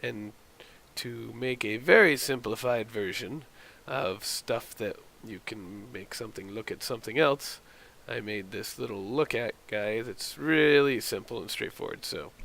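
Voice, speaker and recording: Bright and sharp in tone, a man's voice sits at a medium pitch with vocal fry and ordinary pitch variation. His loudness swings widely. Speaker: indie game developer. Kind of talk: casual devlog tutorial talk. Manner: hesitant, rambling.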